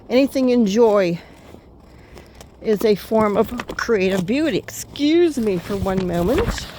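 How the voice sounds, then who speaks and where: Noticeable background noise runs under a woman speaking with lively intonation. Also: fairly high pitch for a woman, fairly slow pace. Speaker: poet. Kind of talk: casual talk to camera. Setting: outdoors.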